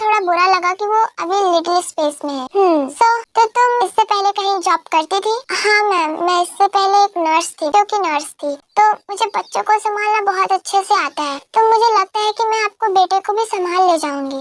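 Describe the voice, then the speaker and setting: A woman's put-on character voice at an extremely high pitch, moderate pace and hardly any pauses, with a dry, close sound and no echo. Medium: fan dub. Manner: polite, respectful.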